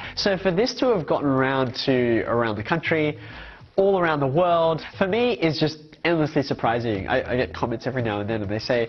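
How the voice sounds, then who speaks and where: A man with an Australian accent, fairly quick pace and very wide pitch swings. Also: fairly high pitch for a man. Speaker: high school maths teacher. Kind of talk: interview.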